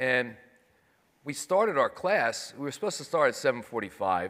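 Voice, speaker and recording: A man with a New York accent and a bright, sharp tone, fairly quick, with ordinary pitch variation, on a very clean recording with a silent background. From New York City. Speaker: 9/11 survivor, financial services manager. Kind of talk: panel testimony.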